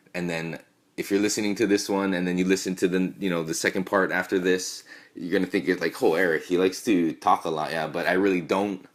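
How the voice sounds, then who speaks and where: A man with a very deep, low pitch mumbles at a very fast pace in a monotone, flat intonation. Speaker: podcast host. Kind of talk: casual chat; reading aloud. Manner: mumbling; halting.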